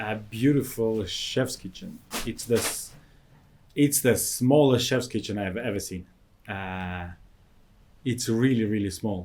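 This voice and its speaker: Over a very clean recording with a silent background, a man with a non-native accent speaks at a medium pitch and a fairly slow pace, with ordinary pitch variation and long, frequent pauses. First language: not English. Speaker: real estate advisor. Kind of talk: property review commentary. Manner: hesitant, many uh fillers.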